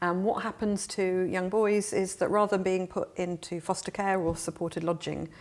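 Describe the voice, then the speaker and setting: At a moderate pace, a woman with a southern English accent speaks at medium pitch with fairly even intonation. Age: 40s. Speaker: refugee charity worker, former teacher. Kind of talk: interview.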